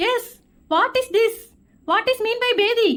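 In a squeaky, cartoonish character voice at an extremely high pitch, the speaker talks at a fairly slow pace. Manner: broken mixed English.

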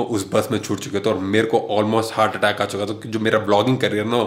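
The speaker is a man. His pitch sits fairly low. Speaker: travel vlogger. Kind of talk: casual vlog chat. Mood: playful storytelling. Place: home room. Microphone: phone near.

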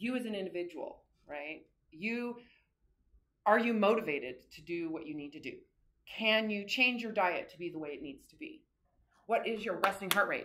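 At a moderate pace, a woman talks with very wide pitch swings and long, frequent pauses. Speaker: course instructor. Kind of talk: lecture. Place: classroom. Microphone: camera far.

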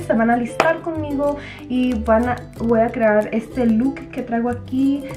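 A woman speaks at a fairly slow pace in a high pitch. Clear music plays in the background. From Durango, Mexico. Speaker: beauty vlogger. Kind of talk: casual makeup tutorial talk to camera. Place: home room. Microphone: camera far.

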